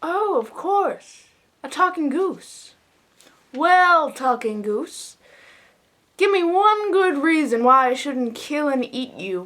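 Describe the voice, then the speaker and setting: Using a put-on character voice, a woman speaks very slowly at a high pitch, swinging her pitch very widely and leaving long, frequent pauses. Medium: read story.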